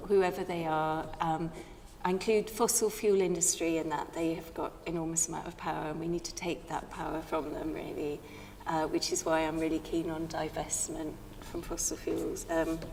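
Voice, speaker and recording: Against noticeable background noise and audible room echo, a woman speaks at a fairly low pitch with fairly even intonation. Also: moderate pace. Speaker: environmental campaigner. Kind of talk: panel discussion. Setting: church with audience. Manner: halting.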